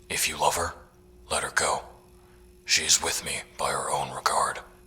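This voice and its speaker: A put-on character voice whispering at a moderate pace. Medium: audio drama. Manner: composed, formal.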